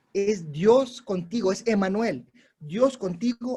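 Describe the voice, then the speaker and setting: A man's high-pitched, dark and mellow voice with a Latin American accent, ordinary pitch variation, and a very slow pace. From Peru. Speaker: missionary preacher. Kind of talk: sermon. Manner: exhortative, animated.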